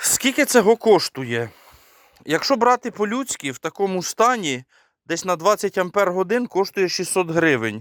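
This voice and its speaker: A man speaks in a high pitch at a fairly slow pace, his pitch swinging very widely. The recording is very clean, with a silent background. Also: dry, close sound with no echo. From Ukraine, rural village. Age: 30s. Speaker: DIY video blogger. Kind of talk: tutorial.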